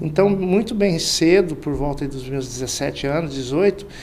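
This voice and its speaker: Noticeable background noise sits behind a man talking at a fairly slow pace with high pitch and ordinary pitch variation. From Central-West Brazil, Mato Grosso. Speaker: sales director. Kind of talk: interview.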